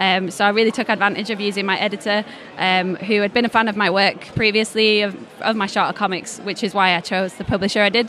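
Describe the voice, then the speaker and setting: Flat and monotone, a woman talks very fast in a Yorkshire accent at a medium pitch. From northern England, Leeds. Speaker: comics creator and illustrator. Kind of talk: interview at a comics festival.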